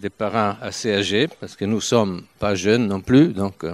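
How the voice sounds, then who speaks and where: The speaker has an Italian accent. The delivery is fairly slow, with fairly even intonation. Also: man. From northern Italy, Turin. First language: Italian (speaking French). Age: 70s. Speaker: visiting preacher. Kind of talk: sermon. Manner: halting.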